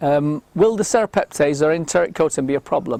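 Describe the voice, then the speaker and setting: The sound is dry and close, with no echo. A man speaks with lively intonation at a moderate pace. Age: 60s. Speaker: health supplement promoter. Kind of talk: Q&A monologue. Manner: hesitant with fillers.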